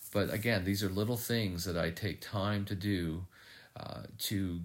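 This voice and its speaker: Very deep, low male voice at a fairly slow pace, fairly even in intonation, with audible room echo. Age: 50s. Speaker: podcast host, heart attack survivor. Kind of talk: solo reflective monologue. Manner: many fillers and hesitations.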